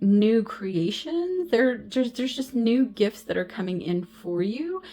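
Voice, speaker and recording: A woman speaks at a fairly slow pace with a fairly high pitch and very wide pitch swings, over noticeable background noise. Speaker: intuitive tarot reader and medium. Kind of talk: spiritual card reading. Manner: halting, stumbling over words.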